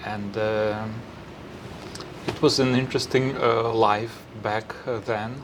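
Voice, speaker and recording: Very slowly, a man speaks at medium pitch in a monotone, flat intonation with long, frequent pauses. Audible room echo and noticeable background noise are present. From western Ukraine, Lviv region. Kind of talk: interview. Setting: chapel. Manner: halting, many fillers.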